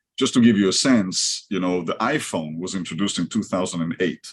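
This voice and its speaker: This man speaks with an Israeli accent and a fairly low pitch. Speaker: company executive. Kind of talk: podcast interview.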